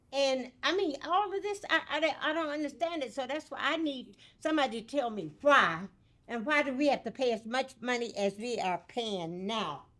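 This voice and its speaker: A woman with an American accent speaks at a moderate pace in a high pitch, with a bright, sharp tone. Her pitch swings very widely, and the recording is very clean with a silent background. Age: 80s+. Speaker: resident speaking at public comment. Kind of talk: public comment at council meeting. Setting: city council meeting.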